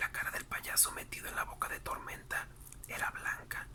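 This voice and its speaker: Whispered speech at a moderate pace over noticeable background noise. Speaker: ASMR narrator reading a book aloud. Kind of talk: whispered audiobook-style reading for sleep/relaxation. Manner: whispered, soft-spoken.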